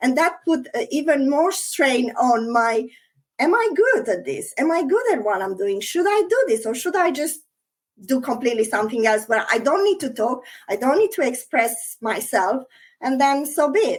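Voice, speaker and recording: Her high-pitched voice moves through very wide pitch swings as this woman talks at a moderate pace. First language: not English. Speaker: interview guest, NLP student, former hospitality worker. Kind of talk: interview podcast.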